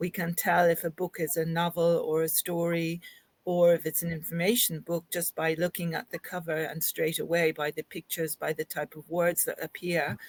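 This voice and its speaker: With an Irish accent, a woman speaks at a moderate pace in monotone, flat intonation. Her pitch is fairly low, and the sound is dry and close with no echo. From Ireland. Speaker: linguistics academic. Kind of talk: interview discussion. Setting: podcast recording.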